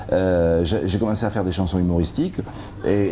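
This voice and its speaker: Music plays behind a man who speaks with a Roussillon accent. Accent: southern French (Perpignan) accent, kept. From Perpignan, French Catalonia. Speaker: comedian and songwriter. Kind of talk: interview. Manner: hesitant, many repetitions and fillers.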